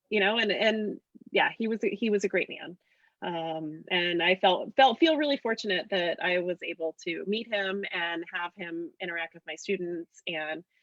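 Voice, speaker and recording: A woman with an unremarkable speaking voice talks at a moderate pace and medium pitch. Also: ordinary pitch variation. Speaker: political candidate, teacher. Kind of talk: casual chat. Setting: video call.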